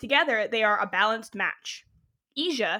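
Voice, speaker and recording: A woman with a Canadian accent speaks at a fairly quick pace in a high, bright, sharp voice, captured on a very clean recording with a silent background. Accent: flat Canadian. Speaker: podcast host. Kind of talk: reading aloud.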